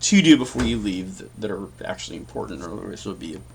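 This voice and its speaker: The delivery is fairly quick and carries vocal fry. Light background noise sits underneath. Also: man. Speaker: tech tutorial youtuber. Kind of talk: screen-recorded tutorial. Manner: fast; casual, thinking aloud. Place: home room.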